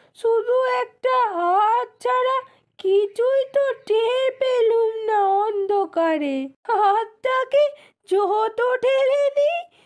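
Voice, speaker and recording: A woman puts on a cartoonish character voice at an extremely high pitch, with lively intonation. She speaks very slowly with very even loudness. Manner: plaintive, rustic.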